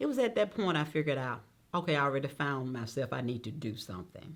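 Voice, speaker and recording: A woman with a Mississippi accent speaks at a fairly quick pace, her pitch swinging very widely, with vocal fry. The recording is very clean, with a silent background. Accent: Mississippi Southern US. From Mississippi Delta. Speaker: judge. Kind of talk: oral history interview.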